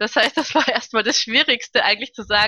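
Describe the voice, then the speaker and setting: In an ordinary speaking voice, a woman talks at a fairly high pitch with lively intonation. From Karlsruhe, Germany. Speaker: opera and concert singer. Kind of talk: casual interview.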